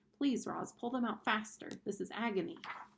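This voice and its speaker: A female-sounding voice performs a put-on character voice at a fairly high pitch. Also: moderate pace. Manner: pained, pleading.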